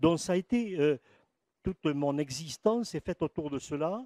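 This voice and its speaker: Lively intonation and a dark, mellow tone come through at a fairly slow pace, with a dry, close sound with no echo on a very clean recording with a silent background. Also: man. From French Pyrenees (Béarn / Basque parents). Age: 70s. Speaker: historian and lecturer, retired school principal. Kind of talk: lecture. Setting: conference with live audience. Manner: halting, many hesitations.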